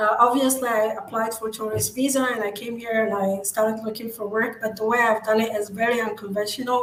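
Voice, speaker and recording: Amid noticeable background noise and audible room echo, a woman with an Arabic accent talks at a fairly quick pace and a fairly high pitch. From Morocco. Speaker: digital marketing agency founder. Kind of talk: interview.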